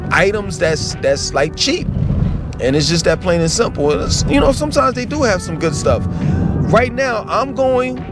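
Over clear background music, a man talks at a moderate pace in a dry recording with no echo. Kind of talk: casual vlog chat. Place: car. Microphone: phone near.

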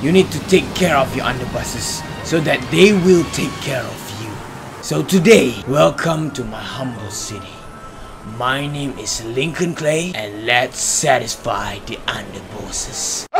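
A man's put-on character voice at medium pitch and moderate pace, with clear background noise.

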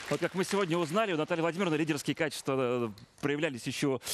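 Over a quiet background, a man talks very fast with ordinary pitch variation. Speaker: TV presenter. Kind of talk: moderated TV studio event. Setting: studio. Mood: warm, encouraging. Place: studio.

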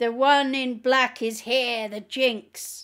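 Delivered at a very slow pace, the put-on character voice is raised and projected, with monotone, flat intonation. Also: woman. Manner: commanding.

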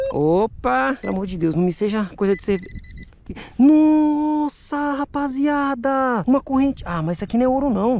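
With very wide pitch swings and a high pitch, a woman speaks at a fairly slow pace in an animated, excited tone. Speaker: YouTuber doing metal detecting and magnet fishing. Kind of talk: casual on-camera vlog narration. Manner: animated, excited exclamations.

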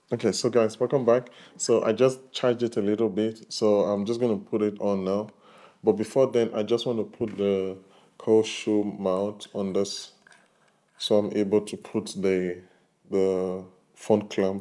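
Fairly low in pitch, a man speaks with a dark, mellow tone. His delivery is fairly slow, with monotone, flat intonation. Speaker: tech reviewer. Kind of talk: tutorial. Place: home room. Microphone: lapel.

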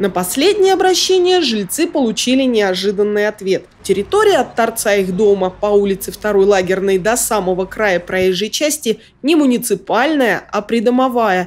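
A woman with a fairly high pitch uses a normal speaking voice, her intonation lively, her pace moderate and her loudness very even. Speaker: TV news reporter. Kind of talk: news report narration. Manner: formal.

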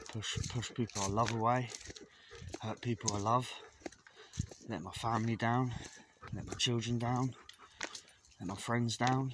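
Over noticeable background noise, a man talks at a fairly slow pace with long, frequent pauses. His intonation is monotone and flat, and the sound is dry with no echo. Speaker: vlogger walking his dog. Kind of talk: casual personal vlog chat. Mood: low, reflective, confessional. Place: open country. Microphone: phone near.

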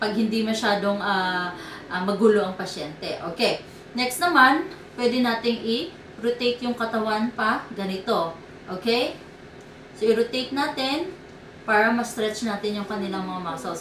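Light background noise and audible room echo around a woman at a moderate pace. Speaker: therapist demonstrating exercises. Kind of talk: tutorial. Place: home room. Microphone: camera far.

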